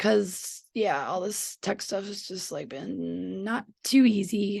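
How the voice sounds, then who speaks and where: The voice has vocal fry and ordinary pitch variation at a very slow pace. The background is quiet. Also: woman, medium pitch for a woman. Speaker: spiritual teacher and astrologer. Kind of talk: casual monologue vlog. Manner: halting, many fillers.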